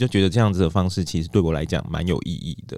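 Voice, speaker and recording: Over a very clean recording and silent background, a man speaks with a very deep, low pitch and a dark, mellow tone. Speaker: counseling psychologist. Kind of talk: interview. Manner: gentle, soothing when asking questions.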